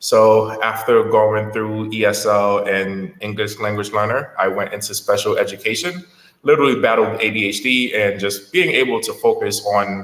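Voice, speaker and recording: In an ordinary speaking voice, a man talks at a moderate pace with hardly any pauses, his fairly low pitch showing ordinary pitch variation. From Haiti, moved to US at six. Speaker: education entrepreneur, former teacher. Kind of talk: podcast interview.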